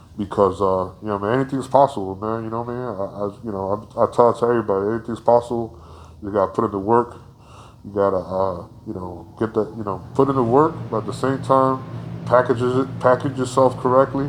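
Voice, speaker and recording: A man with an American accent speaks at a very fast pace, at a medium pitch with ordinary pitch variation. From New Jersey (Paterson). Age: 40s. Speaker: artist. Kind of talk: interview. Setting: in person. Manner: halting, many fillers.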